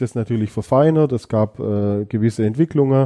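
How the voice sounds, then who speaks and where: This man has a plain, everyday voice at medium pitch. He speaks at a moderate pace with ordinary pitch variation. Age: 40s. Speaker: police fingerprint expert. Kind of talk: interview.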